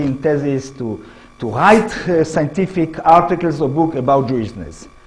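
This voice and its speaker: A man with an Israeli accent and fairly high pitch at a moderate pace, with audible room echo and noticeable background noise. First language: Hebrew. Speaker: history professor. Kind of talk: lecture. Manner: halting.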